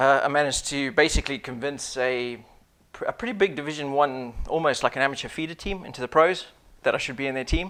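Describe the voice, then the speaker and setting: Speaking at a very fast pace, a man swings widely in loudness. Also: fairly high pitch for a man, ordinary pitch variation. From Zimbabwe. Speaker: business consultant, former Royal Marine commando. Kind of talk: interview. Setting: studio.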